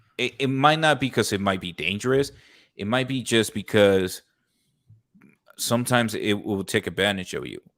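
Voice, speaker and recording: A man with an American accent speaks at a medium pitch with ordinary pitch variation. His long, frequent pauses sit in a very clean recording with a silent background. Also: moderate pace. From Colombia. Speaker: podcast host. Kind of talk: casual chat.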